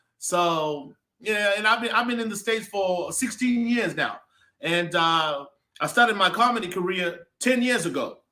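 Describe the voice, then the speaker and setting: A man with an American accent, high in pitch, energetic and bright with a sharp tone, in a raised, projected voice at a moderate pace with ordinary pitch variation. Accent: Zimbabwean, some said to sound American. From Zimbabwe (Mbare, Harare). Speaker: comedian. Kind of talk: interview.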